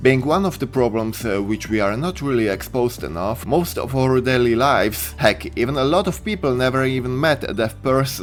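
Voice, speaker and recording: Over background music, a man talks at a fairly quick pace with lively intonation. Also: medium pitch for a man. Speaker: anime reviewer. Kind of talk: casual review talk.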